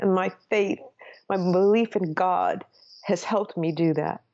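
A woman speaks with an American accent at a fairly slow pace. Hers is a plain, everyday voice with ordinary pitch variation. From Minnesota, Saint Paul. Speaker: former TV journalist and author. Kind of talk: interview.

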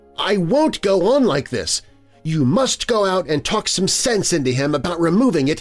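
Over faint background music, a man does a put-on character voice with a high pitch at a moderate pace. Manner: insistent, fretful.

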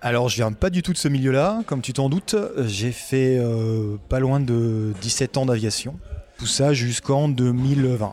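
The speaker is a man with a medium pitch. He talks at a very slow pace with ordinary pitch variation. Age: 30s. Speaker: future bar manager, former aviation mechanic. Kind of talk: casual interview. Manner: hesitant, many fillers.

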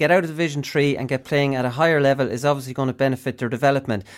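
A man with an Irish Midlands accent, a fairly high pitch, a very fast pace and fairly even intonation. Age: 40s. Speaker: sports podcast host. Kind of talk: casual sports chat.

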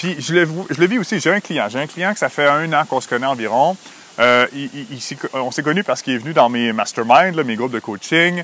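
A man's bright, sharp voice at a fairly high pitch, lively in intonation and fairly quick in pace. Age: 30s. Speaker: therapist and podcast co-host. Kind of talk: casual chat.

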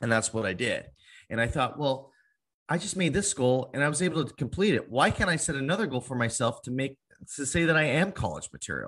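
Talking at a fairly quick pace, a man uses a normal speaking voice with a fairly high pitch. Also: lively intonation. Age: 40s. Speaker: motivational speaker and coach. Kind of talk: interview testimony.

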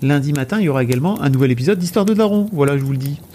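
A man talks at a very fast pace in a fairly high pitch with an animated tone. Noticeable background noise runs underneath. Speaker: Twitch streamer. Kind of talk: casual chat.

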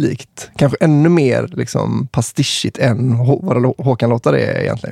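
Speaking at a moderate pace with hardly any pauses, a man with a medium pitch, vocal fry and ordinary pitch variation is heard in a dry, close sound with no echo. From Kungälv area near Marstrand, west Sweden. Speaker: podcast host, musician. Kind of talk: casual chat.

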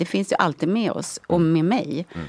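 A woman's plain, everyday voice, fairly low in pitch, with lively intonation at a moderate pace. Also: very clean recording, silent background. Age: 50s. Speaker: yoga influencer. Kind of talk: casual chat.

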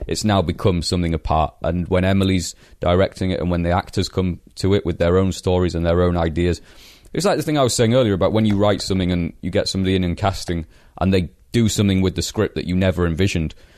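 With a Yorkshire accent, the speaker races along at a very fast pace with fairly even intonation over a quiet background. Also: man, very deep, low pitch for a man. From northern England, Leeds. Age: 20s. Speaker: comedian. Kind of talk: casual chat.

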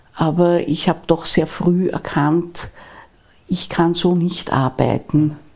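The speech moves at a very slow pace in a dark, mellow tone. Loudness stays very even and the intonation is flat and monotone. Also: woman, fairly low pitch for a woman. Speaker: lawyer. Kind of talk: interview. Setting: live event forum. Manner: quiet.

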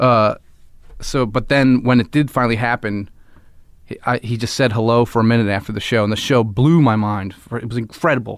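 This man has an unremarkable speaking voice, medium pitch and fairly even intonation, with an American accent. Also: fairly quick pace. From Philadelphia. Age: 30s. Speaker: musician. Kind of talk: casual chat.

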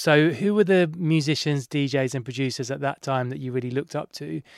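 Over a very clean, silent background, a man speaks with a London accent at a fairly quick pace. His pitch is fairly high and his intonation fairly even. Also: dry, close sound with no echo. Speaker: podcast host, music producer and DJ. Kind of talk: podcast interview with scripted intro. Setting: studio.

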